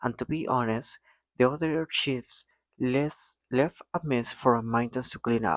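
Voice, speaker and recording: A man with a non-native accent speaks at a medium pitch and a fairly slow pace with fairly even intonation, in a dry, close sound with no echo on a very clean recording with a silent background. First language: not English. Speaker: mechatronics engineer vlogger. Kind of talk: casual vlog monologue. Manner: occasional hesitations and self-corrections.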